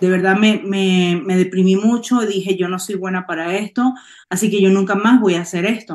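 Fairly even intonation marks a woman's moderately paced speech. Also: quiet background. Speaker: network marketing distributor. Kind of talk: testimony. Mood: emotional, heartfelt.

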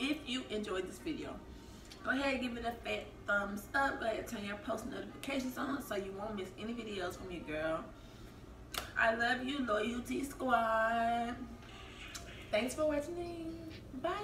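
Long, frequent pauses break up speech at a moderate pace, with noticeable background noise behind it. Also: woman. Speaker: food vlogger. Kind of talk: casual mukbang vlog chat. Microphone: camera far.

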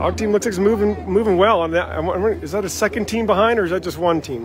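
A man speaks fairly quickly in a high pitch with ordinary pitch variation. The sound is dry with no echo, and there is light background noise. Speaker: live race announcer. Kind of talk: live race commentary. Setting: outdoors. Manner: animated; fast talker. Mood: cheerful, upbeat. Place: street. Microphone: phone near.

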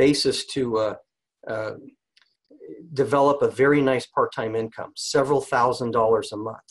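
Here a man uses a normal speaking voice at a medium pitch with fairly even intonation. The background is quiet. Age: 50s. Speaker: network marketing distributor; presenter. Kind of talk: sales pitch. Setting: conference call. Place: home room. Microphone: webcam.

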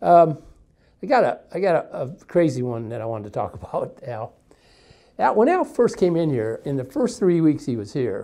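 The pitch swings very widely at a moderate pace. The background is quiet. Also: man. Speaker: co-host, sales staff. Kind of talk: casual conversation. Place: studio. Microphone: lapel.

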